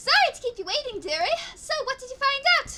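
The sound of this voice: A woman squeaks through a put-on character voice at an extremely high pitch, swinging very widely in pitch at a fairly quick pace.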